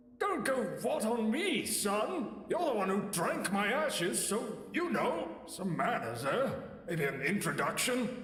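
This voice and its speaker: Putting on a character voice, a man speaks fairly slowly at a high pitch with a clear echo around him. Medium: machinima. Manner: sarcastic, folksy.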